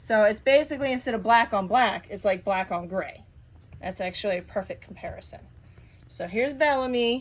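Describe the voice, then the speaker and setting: A somewhat breathy voice at a moderate pace, with ordinary pitch variation and long, frequent pauses. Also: woman. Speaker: cat breeder. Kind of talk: casual show-and-tell video.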